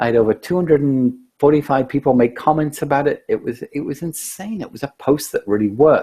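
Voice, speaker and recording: In a dark, mellow tone that is somewhat breathy, a man talks at a fairly quick pace with hardly any pauses. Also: fairly high pitch for a man, ordinary pitch variation. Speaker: social media trainer. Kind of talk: webinar presentation. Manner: fast.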